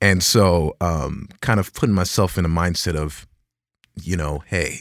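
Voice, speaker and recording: A man with a very deep, low voice and an American accent, speaking with fairly even intonation. The recording is very clean, with a silent background. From US, Dallas, Texas. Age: 20s. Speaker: movie trailer voice actor. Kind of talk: casual interview.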